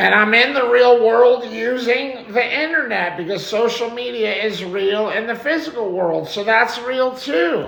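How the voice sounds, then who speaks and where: A man with an American accent speaks loudly at an extremely high pitch and a fairly slow pace with hardly any pauses, with audible room echo and noticeable background noise. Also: ordinary pitch variation. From New York. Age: 40s. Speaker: live streamer. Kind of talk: live stream chat. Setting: home live stream.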